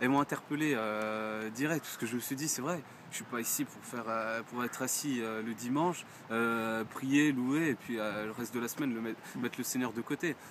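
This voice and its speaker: A man at a moderate pace, fairly even in intonation, with noticeable background noise. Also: medium pitch for a man. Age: 20s. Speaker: churchgoer giving testimony. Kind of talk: testimony. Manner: halting, many hesitations.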